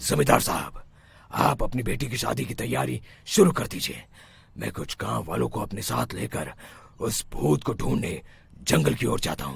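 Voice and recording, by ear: A man's cartoonish character voice, very deep and low, with very wide pitch swings at a moderate pace.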